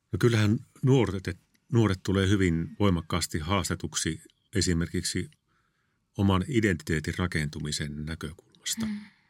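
A man talks in a very deep, low voice with ordinary pitch variation. The recording is very clean, with a silent background. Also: moderate pace. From Finland, Northern Ostrobothnia (Kalajoki, Oulu). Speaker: educator and school principal. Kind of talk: interview. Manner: hesitant, repeats words.

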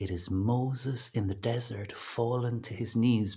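With an Irish accent, a man speaks fairly slowly at a medium pitch, his intonation fairly even and his voice somewhat breathy. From Ireland. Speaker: singer. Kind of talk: interview conversation.

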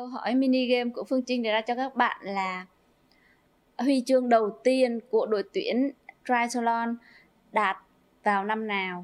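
Speech comes at a fairly slow pace. The intonation is fairly even. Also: woman, high pitch for a woman. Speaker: professional athlete. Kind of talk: casual interview.

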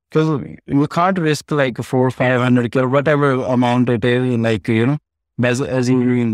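This man has a Punjabi accent and a medium pitch, with ordinary pitch variation and very even loudness. The sound is dry and close with no echo, over a quiet background. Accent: Indian (Punjabi) English. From India (Punjab). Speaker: real estate team leader. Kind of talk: interview. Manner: halting.

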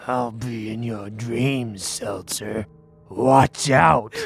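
Growling in a put-on character voice, a man speaks at a medium pitch and a very slow pace. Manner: creepy, menacing.

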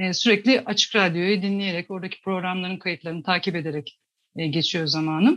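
At a fairly quick pace, a woman of medium pitch speaks with ordinary pitch variation. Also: quiet background. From Tokat, Turkey. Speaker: graphic designer and climate activist. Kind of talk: radio interview. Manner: hesitant, many fillers.

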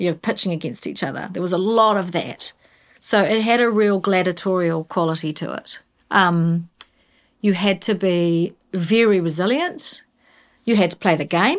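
A woman with a southern New Zealand accent, medium in pitch, at a moderate pace with ordinary pitch variation, in a very clean recording with a silent background. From New Zealand, Invercargill. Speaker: advertising creative director. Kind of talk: interview.

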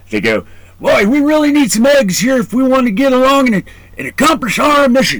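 A man speaks at an extremely high pitch with ordinary pitch variation. Noticeable background noise is present. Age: 40s. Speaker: podcast host and Marine veteran. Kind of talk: casual interview.

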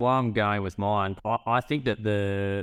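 A man with an Australian accent talks at a fairly low pitch with fairly even intonation in a very clean recording with a silent background. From northern New South Wales, Australia. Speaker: former livestock marketing worker, podcast co-host. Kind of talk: casual chat.

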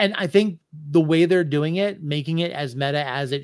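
At a moderate pace, a man talks in a plain, everyday voice with ordinary pitch variation. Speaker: podcast host. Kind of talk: casual chat.

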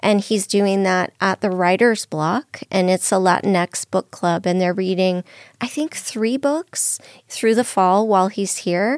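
Recorded dry and close with no echo, a woman speaks in an ordinary speaking voice at a medium pitch with ordinary pitch variation. Her pace is fairly slow, and the recording is very clean with a silent background. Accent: American. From Southern California. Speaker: literary institute executive director. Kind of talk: radio interview.

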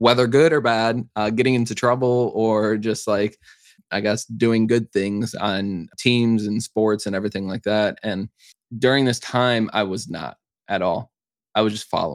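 In an American accent, a man with a plain, everyday voice speaks at medium pitch and a moderate pace with fairly even intonation, recorded very cleanly against a silent background with a dry, close sound and no echo. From Chicago, US. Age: 20s. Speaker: content creator. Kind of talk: casual interview chat.

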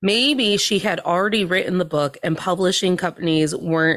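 A woman speaks at a moderate pace in an ordinary speaking voice with ordinary pitch variation. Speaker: podcast guest. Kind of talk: casual comedic chat. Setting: video call.

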